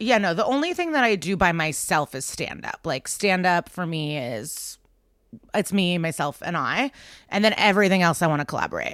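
A woman with an ordinary speaking voice talks at a moderate pace, her pitch fairly low and her intonation lively. The recording is very clean, with a silent background. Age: 30s. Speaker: stand-up comedian and podcast host. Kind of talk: casual interview chat.

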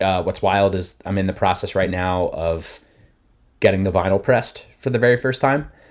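Over a very clean recording with a silent background, a man with an American accent talks at a fairly quick pace. His is an unremarkable speaking voice, fairly low, with ordinary pitch variation. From New Jersey, near Philadelphia. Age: 30s. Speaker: musician. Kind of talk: casual chat.

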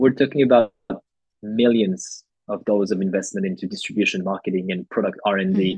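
Fairly quick speech in a French accent, with ordinary pitch variation and a dry, close sound with no echo. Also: man, fairly low pitch for a man. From France. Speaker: coffee educator. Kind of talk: casual interview chat.

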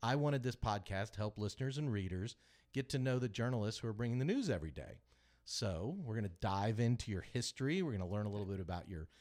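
A man speaks with an American accent at medium pitch, with lively intonation and an ordinary speaking voice. The recording is very clean, with a silent background. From Kansas City. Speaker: podcast host. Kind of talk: casual interview. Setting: studio.

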